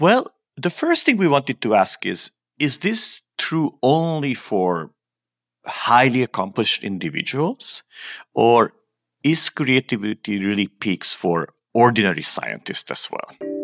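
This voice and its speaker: Dry and close with no echo, a man's medium-pitched voice with vocal fry moves slowly, fairly so, through very wide pitch swings. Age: 50s. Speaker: physicist. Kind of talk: interview.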